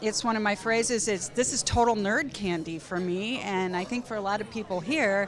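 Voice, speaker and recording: With music in the background, a woman at a fairly high pitch speaks at a moderate pace, her pitch varying an ordinary amount. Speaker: physician. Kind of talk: panel discussion. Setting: conference round table.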